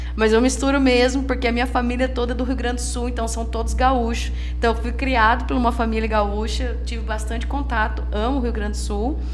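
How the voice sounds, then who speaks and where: Over music in the background, in a room with audible echo, a woman with a very deep, low pitch speaks in a monotone, flat way at a fairly quick pace with hardly any pauses. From Limeira, São Paulo interior, Brazil, raised by gaúcho family. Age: 30s. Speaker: pastor and lawyer. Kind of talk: podcast interview. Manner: halting, with self-corrections.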